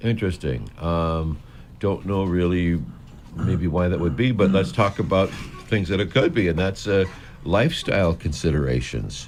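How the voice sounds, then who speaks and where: A man's very deep, low voice with vocal fry, moderate pace, very even loudness and ordinary pitch variation. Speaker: radio co-host. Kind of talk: radio interview questions.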